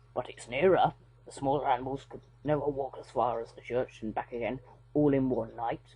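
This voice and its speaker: A man's put-on character voice, husky and medium-pitched, at a fairly quick pace, with fairly even intonation and big swings in loudness. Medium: read story. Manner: grave, earnest.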